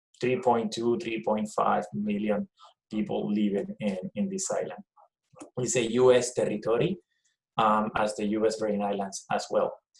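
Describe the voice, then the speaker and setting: In a Puerto Rican accent, a man speaks at a moderate pace in a medium pitch with ordinary pitch variation. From Puerto Rico. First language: Spanish. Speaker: professor. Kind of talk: presentation. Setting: video call.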